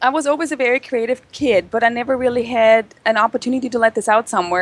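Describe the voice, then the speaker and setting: The voice races along at a very fast pace with ordinary pitch variation. The sound is dry and close, with no echo. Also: woman. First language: not English. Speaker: chocolatier, business owner. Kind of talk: interview.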